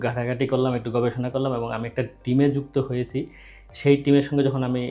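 The man speaks at a medium pitch in a monotone, flat delivery with a dark, mellow tone. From Bangladesh. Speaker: YouTube channel host. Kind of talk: interview.

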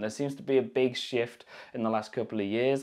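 The speaker has a British accent, and the background is quiet. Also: man. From United Kingdom. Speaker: YouTuber. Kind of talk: tech review. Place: studio. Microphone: lapel.

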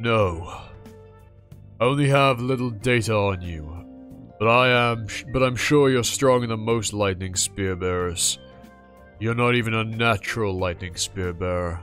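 A man at a fairly slow pace, medium in pitch, with clear music in the background. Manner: stern, loyal, blunt.

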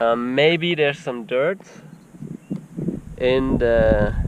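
A man is heard with a dry sound and no echo, over noticeable background noise. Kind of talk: casual vlog chat. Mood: frustrated, puzzled. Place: open country. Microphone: phone near.

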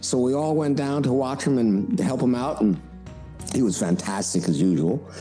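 Lively intonation from a man with a fairly low pitch, at a moderate pace, over music in the background. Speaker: voice actor. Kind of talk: interview answer. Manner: casual, anecdotal.

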